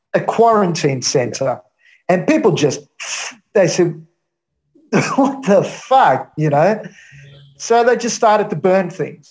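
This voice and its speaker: A high-pitched man, very slow, with very wide pitch swings, long, frequent pauses and music in the background. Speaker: aid worker. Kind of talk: interview.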